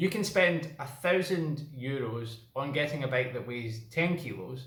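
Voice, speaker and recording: A man with a Scottish accent at a fairly slow pace, with audible room echo and noticeable background noise. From Scotland. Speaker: cycling vlogger. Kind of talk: casual vlog talk.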